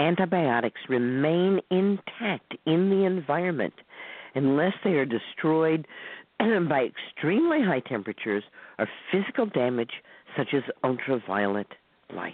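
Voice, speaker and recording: Speaking at a moderate pace with long, frequent pauses, a woman uses a very deep, low pitch that moves in very wide swings. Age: 70s. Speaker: herbalist teaching herbal medicine. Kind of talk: lecture. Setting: phone or internet call-in radio.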